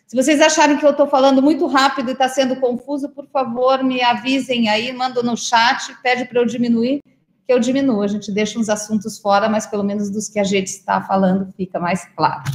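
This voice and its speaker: This woman has a high voice and ordinary pitch variation. She talks at a fairly quick pace with hardly any pauses. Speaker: state culture official chairing council meeting. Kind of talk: online council meeting.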